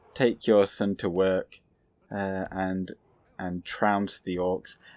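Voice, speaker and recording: A man speaks at a very slow pace in a very deep, low voice, with long, frequent pauses and a monotone, flat intonation. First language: not English. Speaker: gaming YouTuber. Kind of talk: gameplay commentary. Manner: halting, many fillers.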